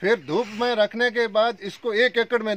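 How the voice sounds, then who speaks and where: At an extremely high pitch, a man speaks at a fairly slow pace in a dry sound with no echo. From Rajasthan, Jaisalmer district; Rajasthan. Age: 50s. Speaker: pomegranate farmer. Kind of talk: on-site farm interview. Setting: outdoors in his orchard. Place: farm. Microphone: phone near.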